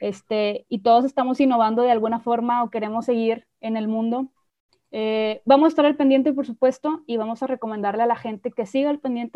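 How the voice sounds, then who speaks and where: This woman has a plain, everyday voice with a fairly high pitch. Her intonation is fairly even and her pace fairly quick. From Mexico. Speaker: podcast host. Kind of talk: casual chat.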